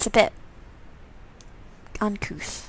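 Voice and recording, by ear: A woman speaks with vocal fry.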